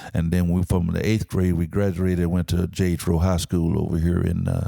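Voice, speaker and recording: With an East Texas accent, a man talks at a fairly quick pace in a very deep, low voice with monotone, flat intonation. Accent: East Texas Southern US. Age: 70s. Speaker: Vietnam veteran. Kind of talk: interview.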